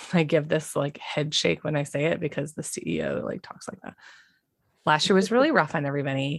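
In a very clean recording with a silent background, a woman speaks fairly quickly with a very deep, low pitch, vocal fry, ordinary pitch variation and big swings in loudness. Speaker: nurse and podcast host. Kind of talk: angry rant. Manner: emphatic, fuming.

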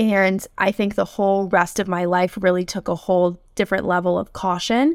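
A woman with a normal speaking voice talks at a moderate pace, her medium pitch following a fairly even intonation. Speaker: mental health counselor and doctoral student. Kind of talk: interview. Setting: video call.

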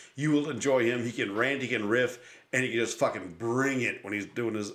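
With an American accent, a man speaks in a plain, everyday voice at a medium pitch with ordinary pitch variation, in a very clean recording with a silent background. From Buffalo, New York. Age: 50s. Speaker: podcast host and comedian. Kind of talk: casual chat. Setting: studio.

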